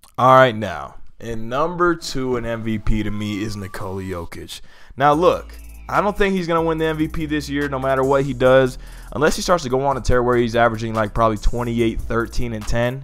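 Music plays behind a man speaking at a moderate pace. His intonation is lively. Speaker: sports channel host. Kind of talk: commentary.

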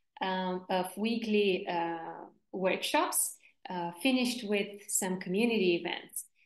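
In a room with audible echo but a quiet background, a woman speaks with ordinary pitch variation. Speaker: workshop facilitator. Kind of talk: online workshop presentation. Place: home room. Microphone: video call.

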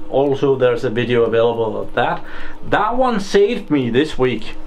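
Light background noise under a man at a moderate pace, his pitch varying in an ordinary way. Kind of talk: tutorial. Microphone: phone near.

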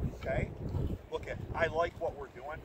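A man talks with a dry, echo-free sound amid heavy background noise. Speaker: field hockey coach. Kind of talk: halftime pep talk to team. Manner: emphatic, motivational. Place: stadium.

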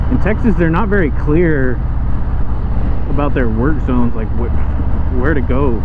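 A man talks at a moderate pace. The sound is dry with no echo, over loud background noise. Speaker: motorcycle rider vlogger. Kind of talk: casual vlog chat. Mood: relaxed, mildly annoyed. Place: motorbike.

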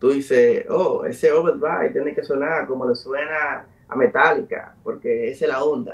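A man speaks at a moderate pace. He uses hardly any pauses. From Dominican Republic, south (Enriquillo); Dominican Republic. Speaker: musician and producer; guest. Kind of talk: interview. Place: home room. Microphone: video call.

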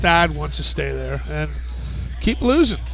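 The sound is dry with no echo, with faint music in the background. A man speaks at a fairly slow pace. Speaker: show host. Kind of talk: casual sports talk. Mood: joking, animated banter. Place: bar. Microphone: headset.

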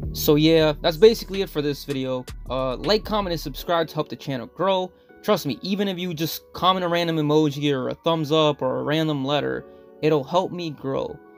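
The speech moves at a fairly quick pace with ordinary pitch variation. Music plays in the background. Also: man. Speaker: vlogger. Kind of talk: casual vlog narration.

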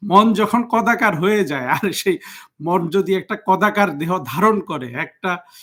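A man's high-pitched voice, bright and sharp in tone, with lively intonation. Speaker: political commentator. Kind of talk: political monologue.

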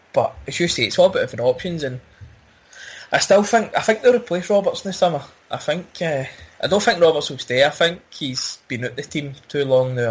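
A man talks at a very fast pace in a Glasgow accent. His voice is somewhat breathy and his intonation lively. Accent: Scottish (Glasgow area). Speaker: football podcast host. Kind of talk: casual chat.

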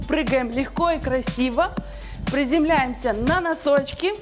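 Clear music plays in the background as the speaker goes at a very slow pace with ordinary pitch variation. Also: woman. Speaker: fitness instructor. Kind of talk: workout instruction. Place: gym.

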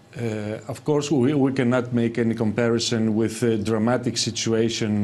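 A man speaks at a moderate pace. He has a Greek accent. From Greece. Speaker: economist. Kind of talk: TV panel debate. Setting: remote link from Athens. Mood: calm, analytical. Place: studio. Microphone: lapel.

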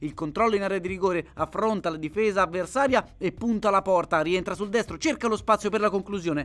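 The man's voice is high-pitched with ordinary pitch variation. He talks at a fairly quick pace. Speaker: football commentator. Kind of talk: sports highlights commentary, voiceover. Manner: fast, rapid-fire play-by-play; energetic, building up at goals.

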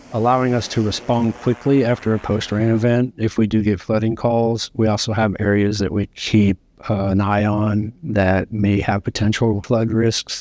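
Speech at a moderate pace with hardly any pauses comes in a monotone, flat intonation, and the sound is dry with no echo. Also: man, fairly low pitch for a man. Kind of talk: interview answer. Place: office. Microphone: lapel.

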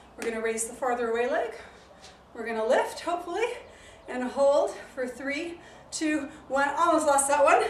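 Set in audible room echo with light background noise, a woman's high voice moves at a moderate pace with ordinary pitch variation. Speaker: fitness instructor. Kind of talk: exercise class instruction. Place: garden. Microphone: camera far.

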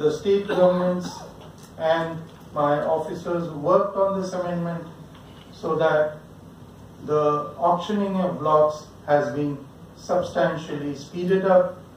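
A man's high-pitched voice at a fairly slow pace, with fairly even intonation, long and frequent pauses, audible room echo, and light background noise. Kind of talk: formal speech. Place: hall.

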